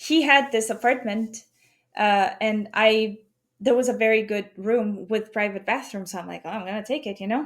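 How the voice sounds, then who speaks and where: This woman has a fairly high pitch and an unremarkable speaking voice. Her pitch varies an ordinary amount. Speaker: podcast guest telling ghost stories. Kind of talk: casual podcast conversation.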